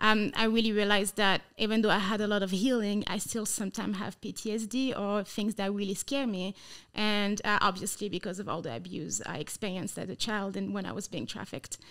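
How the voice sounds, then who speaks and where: In a French accent, a woman speaks at a fairly quick pace with fairly even intonation. The recording is very clean, the background silent. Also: medium pitch for a woman, hardly any pauses. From France. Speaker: sex trafficking survivor and anti-trafficking missionary. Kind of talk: interview testimony.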